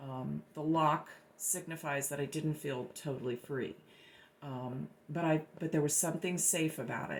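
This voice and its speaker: A woman's very deep, low voice with vocal fry, fairly even intonation and a moderate pace, on a very clean recording with a silent background. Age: 60s. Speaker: artist. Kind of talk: personal testimony about own artwork. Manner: halting, many fillers and repetitions.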